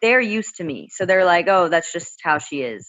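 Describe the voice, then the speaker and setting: With a normal speaking voice and a fairly low pitch, a woman speaks at a fairly slow pace with lively intonation. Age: 20s. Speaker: college student. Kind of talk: casual chat.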